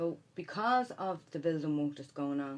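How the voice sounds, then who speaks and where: Her voice is very deep and low, in a Dublin accent. The woman keeps a moderate pace. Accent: Dublin Irish. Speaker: city councillor. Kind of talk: radio interview. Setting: studio.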